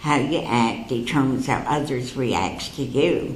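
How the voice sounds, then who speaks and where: A woman speaks at a fairly slow pace amid audible room echo and noticeable background noise. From Canada (London, Ontario). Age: 80s+. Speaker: psychic speaker. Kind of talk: talk to an audience. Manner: conversational, anecdotal with humor.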